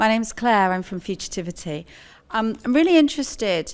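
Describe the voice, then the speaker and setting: A woman speaks fairly quickly on a very clean recording against a silent background. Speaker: audience member. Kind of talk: audience question. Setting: conference audience. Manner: loud.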